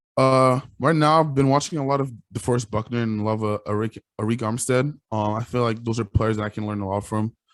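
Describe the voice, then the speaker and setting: A man with a Quebec accent, fairly low in pitch, at a moderate pace with fairly even intonation, against a quiet background. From Quebec, Canada. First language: French. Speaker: college football player. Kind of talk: interview.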